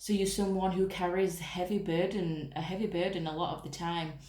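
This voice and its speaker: A woman with a fairly low pitch and fairly even intonation speaks at a moderate pace, with audible room echo and noticeable background noise. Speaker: tarot reader. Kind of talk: tarot reading. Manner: casual, chatty.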